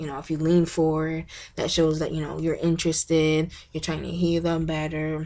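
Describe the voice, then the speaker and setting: A woman's fairly low, dark, mellow voice at a moderate pace, on a very clean recording with a silent background. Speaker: college student giving class presentation. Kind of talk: class presentation video. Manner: animated, bubbly.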